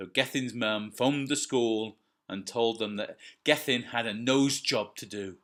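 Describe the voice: A quiet background under plain reading aloud.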